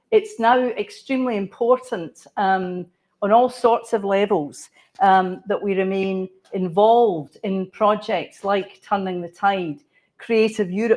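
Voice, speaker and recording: A woman's medium-pitched voice with a Scottish accent, ordinary pitch variation and a very slow pace. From Scotland. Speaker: cultural planner. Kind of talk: conference presentation.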